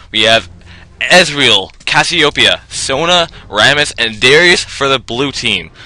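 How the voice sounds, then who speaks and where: Man at medium pitch, bright and sharp in tone, with lively intonation at a fairly slow pace. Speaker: game shoutcaster. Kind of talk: esports-style game commentary.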